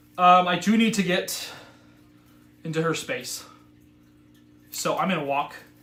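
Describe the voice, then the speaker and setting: Audible room echo follows a man's voice. His tone is bright and sharp, with lively intonation. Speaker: board game streamer. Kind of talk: live gameplay commentary. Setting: live stream. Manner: fast; animated.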